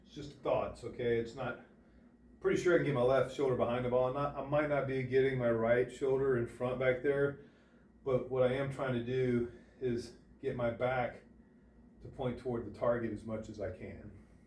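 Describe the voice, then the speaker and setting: A man at a medium pitch speaks at a moderate pace in a flat monotone, his loudness swinging widely, with audible room echo. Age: 60s. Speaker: golf instructor. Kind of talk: tutorial. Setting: indoor golf simulator.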